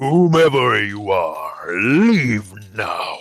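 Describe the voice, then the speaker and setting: This man puts on a character voice. His pitch sits in the medium range. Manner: imperious, commanding.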